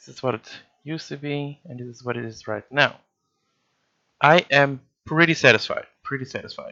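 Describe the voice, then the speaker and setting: A man speaks quietly at a moderate pace, his pitch fairly high and his intonation fairly even. His loudness swings widely, and he leaves long, frequent pauses. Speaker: photographer and vlogger. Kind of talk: tutorial. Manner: quiet, concentrated.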